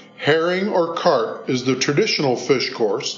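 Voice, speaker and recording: A man's fairly high voice, fairly slow and lively in intonation, over noticeable background noise. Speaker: cookbook author. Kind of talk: scripted narration.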